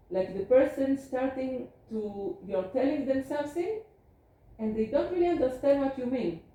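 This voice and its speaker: With a dark, mellow tone, a woman speaks high in pitch at a moderate pace. Her pitch swings very widely. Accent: Israeli. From Israel. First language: Hebrew. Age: 50s. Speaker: geriatrician. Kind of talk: lecture.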